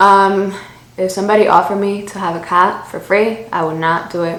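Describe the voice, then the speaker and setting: A woman with an American accent talks at a fairly slow pace in a medium pitch, with noticeable background noise and audible room echo. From Miami, US. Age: 20s. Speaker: beauty YouTuber. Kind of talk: makeup tutorial with Q&A. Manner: casual, chatty.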